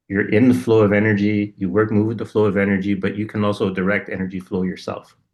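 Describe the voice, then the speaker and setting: A man with a plain, everyday voice talks at a fairly quick pace, in a fairly low pitch with fairly even intonation. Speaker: podcast co-host. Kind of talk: casual spiritual conversation.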